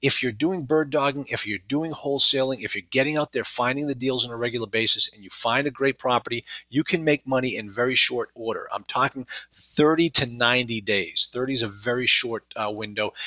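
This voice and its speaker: In a dry, close sound with no echo, a man with an American accent and a bright, sharp tone talks at a fairly quick pace with ordinary pitch variation. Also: medium pitch for a man. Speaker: real estate investing trainer. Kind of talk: webinar sales pitch. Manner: fast; many fillers and hesitations.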